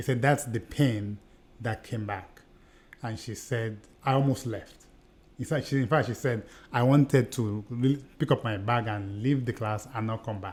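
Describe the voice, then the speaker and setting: Somewhat breathy, a man with a Nigerian accent speaks at a medium pitch and a moderate pace, keeping his intonation fairly even. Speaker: podcast co-host, seminar trainer. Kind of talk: casual chat.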